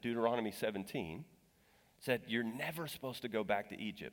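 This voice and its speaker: With an American accent, a man speaks at a moderate pace in a plain, everyday voice of medium pitch. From Texas. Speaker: guest preacher. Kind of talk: sermon. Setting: church.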